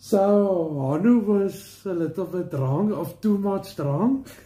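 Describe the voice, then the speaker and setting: A man with a South African accent speaks at a very slow pace in a dark, mellow tone, his high pitch showing ordinary variation amid big swings in loudness. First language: Afrikaans. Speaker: family member of co-host. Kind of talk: casual chat. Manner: halting.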